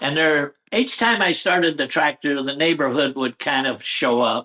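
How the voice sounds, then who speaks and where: A fairly slow delivery with a US Midwest accent. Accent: rural US Midwest. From Iowa, US Midwest. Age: 80s+. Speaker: retired tractor puller. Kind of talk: casual interview storytelling.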